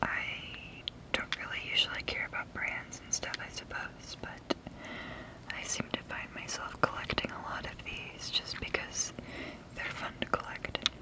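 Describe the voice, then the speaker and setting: Amid noticeable background noise, a whisper moves at a fairly slow pace, broken by long, frequent pauses. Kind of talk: ASMR whisper video, casual talk to camera. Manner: whispered, soft-spoken.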